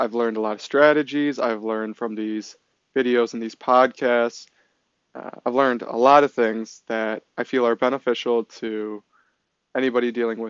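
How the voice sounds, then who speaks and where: Speaking with a Midwestern US accent, a man talks at a moderate pace and medium pitch. His intonation is monotone and flat. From Michigan. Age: 20s. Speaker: college student podcaster. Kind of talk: solo monologue podcast intro.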